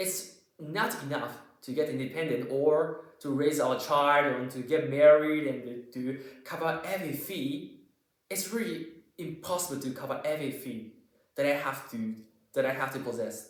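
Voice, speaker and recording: A man's fairly high voice with a Japanese accent, at a moderate pace with ordinary pitch variation and audible room echo. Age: 20s. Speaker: physics graduate student. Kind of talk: casual vlog monologue. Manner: halting, many fillers and self-corrections.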